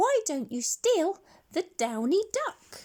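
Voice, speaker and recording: A female-sounding, put-on character voice, squeaky and extremely high in pitch, is raised and projected. It moves at a very slow pace with very wide pitch swings. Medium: read story.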